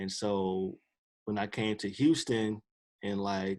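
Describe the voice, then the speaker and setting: A man talks at a very slow pace. His pitch is fairly low. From Chicago, US. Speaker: former streetball player and documentary filmmaker. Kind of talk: podcast interview. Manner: casual, halting with fillers.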